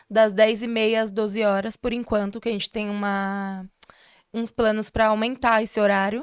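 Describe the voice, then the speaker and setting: A woman with a fairly high pitch speaks at a moderate pace in a monotone, flat intonation, the sound dry and close with no echo on a very clean recording with a silent background. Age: 20s. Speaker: history student and social project founder. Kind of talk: interview.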